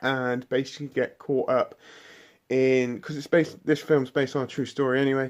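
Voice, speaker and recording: A man with a British accent. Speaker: film reviewer. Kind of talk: casual video review monologue. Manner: halting, many restarts and fillers; animated, enthusiastic.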